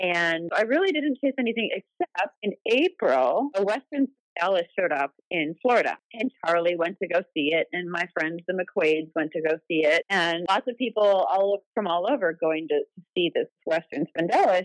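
A woman with an American accent, an unremarkable speaking voice, medium pitch, lively intonation, and moderate pace, in a dry, close sound with no echo. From Wisconsin, US Midwest. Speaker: bird tour guide. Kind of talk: interview.

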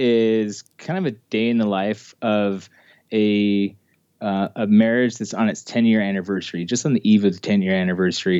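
He has a plain, everyday voice, pitched fairly low for a man. The pace is moderate, and the background is quiet. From Utah (Ogden). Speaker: film director and actor. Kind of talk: casual interview.

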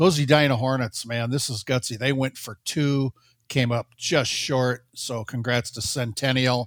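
A man with an ordinary speaking voice talks at a moderate pace and a medium pitch. His intonation is fairly even, and the sound is dry and close with no echo. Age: 60s. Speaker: high school sports journalist. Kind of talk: casual chat. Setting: studio.

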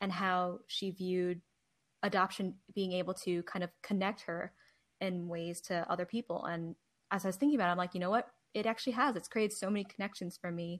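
A woman with a plain, everyday voice speaks fairly quickly in an American accent, her pitch medium. Her intonation stays fairly even over a silent background in a very clean recording. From New Jersey. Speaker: podcast co-host and Chinese adoptee. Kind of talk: casual interview chat.

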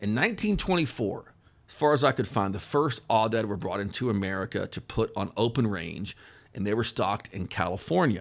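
Fairly quick and lively in intonation, a man talks in an ordinary speaking voice pitched fairly low. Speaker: wildlife journalist. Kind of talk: scripted narration.

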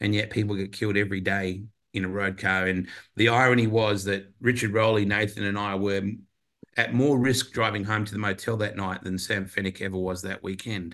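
A man with an Australian accent speaks fairly quickly in a fairly low voice with fairly even intonation. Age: 50s. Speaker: motorsport commentator. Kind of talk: casual chat.

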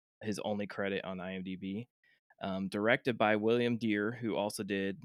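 In a dry, close sound with no echo, a man with an ordinary speaking voice talks at a moderate pace, his fairly low pitch carrying fairly even intonation. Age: 30s. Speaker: podcast host. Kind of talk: reading aloud; casual chat.

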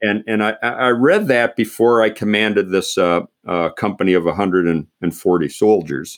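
A man with a fairly low pitch and ordinary pitch variation speaks at a moderate pace with hardly any pauses. The recording is very clean, with a silent background. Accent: American. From Pennsylvania, US. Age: 60s. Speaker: retired army general, leadership author. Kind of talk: interview conversation. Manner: halting, many repeated words.

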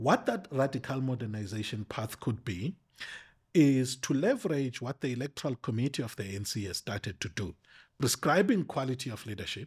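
A man with a medium pitch speaks at a fairly quick pace, his intonation lively and his voice somewhat breathy. The recording is very clean, with a silent background. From South Africa, rural Eastern Cape. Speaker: political analyst and politics lecturer. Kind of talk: casual interview. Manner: halting.

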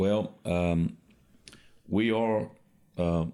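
A man with a South Carolina accent, a dark, mellow tone and fairly even intonation, on a very clean recording with a silent background. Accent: Southern US (South Carolina). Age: 50s. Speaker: pastor. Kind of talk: interview.

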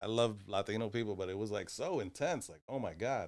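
The speaker is a man. His voice sits at a fairly low pitch. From New Jersey, US (Puerto Rican family). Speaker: stand-up comedian. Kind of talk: casual chat.

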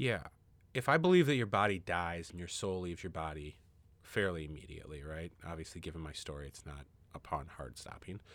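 On a very clean recording with a silent background, a man speaks at a fairly quick pace with a very deep, low pitch. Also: ordinary pitch variation, big swings in loudness. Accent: American. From Minnesota. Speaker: podcast guest sharing near-death story. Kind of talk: casual interview conversation. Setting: room with his baby son.

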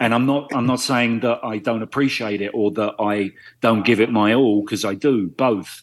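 With an ordinary speaking voice, a man at a medium pitch talks at a moderate pace with fairly even intonation over a quiet background. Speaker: actor. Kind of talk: casual chat.

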